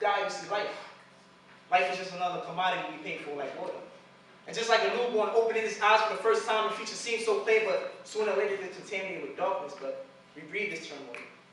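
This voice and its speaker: Over noticeable background noise, a man speaks in a raised, projected voice at a high pitch. He goes at a very fast pace, with big swings in loudness. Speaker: spoken word poet. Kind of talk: slam poetry performance. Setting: live stage.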